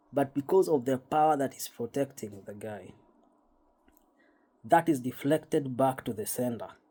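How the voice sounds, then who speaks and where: With a dark, mellow tone, this man's speech shows ordinary pitch variation. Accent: Kenyan. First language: Kikuyu. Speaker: spiritual YouTuber. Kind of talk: casual monologue. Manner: halting, repetitive.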